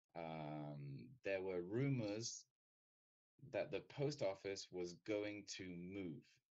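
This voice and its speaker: Very slow speech in a British accent comes with lively intonation. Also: man, fairly low pitch for a man. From Britain. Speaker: English teacher. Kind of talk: lecture.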